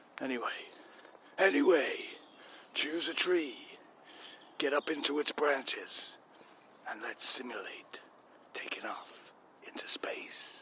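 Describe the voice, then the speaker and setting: At a fairly slow pace with long, frequent pauses, a man uses a put-on character voice pitched fairly high. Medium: solo performance.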